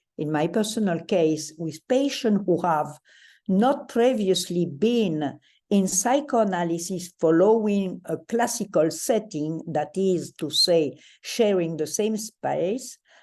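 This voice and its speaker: A woman with a French accent and a dark, mellow tone speaks at a very slow pace with lively intonation over a quiet background. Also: medium pitch for a woman. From France. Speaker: psychoanalyst, panelist. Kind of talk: lecture. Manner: formal.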